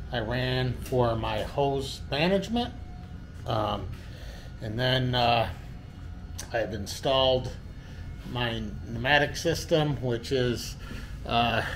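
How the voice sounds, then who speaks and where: Long, frequent pauses break up a man's very slow speech. His pitch varies in an ordinary way, with light background noise behind him. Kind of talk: casual workshop tour. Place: workshop. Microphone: phone near.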